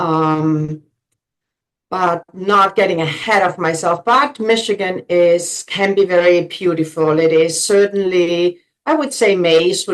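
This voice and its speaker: A woman speaks at a fairly slow pace with a German accent. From Germany. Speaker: realtor. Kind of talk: interview.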